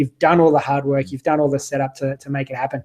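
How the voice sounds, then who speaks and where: Flat and monotone, a man with an Australian accent speaks very fast in a fairly high voice. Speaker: online business owner, summit host. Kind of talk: interview. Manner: halting, many fillers.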